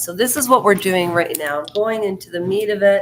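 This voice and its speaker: A woman talks at a fairly quick pace. Her pitch is medium, and noticeable background noise is present. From Canada. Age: 50s. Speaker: live streamer. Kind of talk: casual live stream chat. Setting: basement live stream. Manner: loud.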